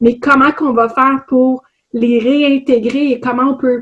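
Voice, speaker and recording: A woman speaks with a Quebec accent in a high voice, her intonation fairly even. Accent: Québécois French. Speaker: HR consultant and trainer. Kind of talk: webinar presentation. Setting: online webinar.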